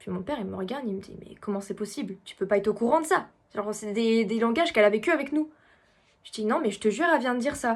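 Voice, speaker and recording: On a very clean recording with a silent background, a woman talks at a very fast pace in a fairly high pitch with ordinary pitch variation. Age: 20s. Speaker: medium. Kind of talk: casual talk to camera.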